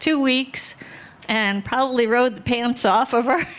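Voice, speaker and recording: The woman speaks at a high pitch. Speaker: horse owner sharing memories. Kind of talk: eulogy story at memorial. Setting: outdoor barn gathering, livestreamed. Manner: casual storytelling.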